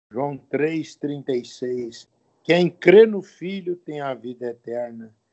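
His pitch sits in the medium range. The man talks very slowly. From Brazil, Minas Gerais (Rio Pomba). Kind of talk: testimony.

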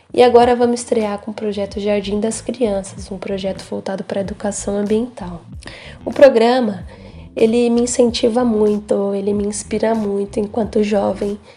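Through noticeable background noise, a woman speaks at medium pitch and a moderate pace, in a monotone, flat intonation with big swings in loudness. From São Paulo, Brazil. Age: 20s. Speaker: young cultural monitor. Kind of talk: testimony.

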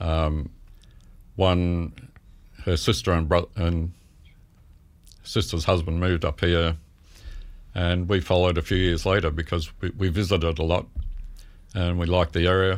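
A man with an Australian accent, very deep and low in pitch, flat and monotone, very even in loudness, with long, frequent pauses. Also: moderate pace. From Melbourne, Australia. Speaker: photographer. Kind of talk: interview.

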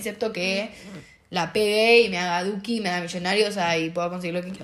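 A woman is speaking. Room echo is audible. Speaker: podcast co-host. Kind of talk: casual chat.

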